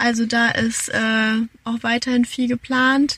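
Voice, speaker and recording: A woman speaks in a high-pitched voice. The sound is dry and close, without echo. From Hesse, near Frankfurt, Germany. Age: 20s. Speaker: bridal shop co-owner. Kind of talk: casual chat. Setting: in a car.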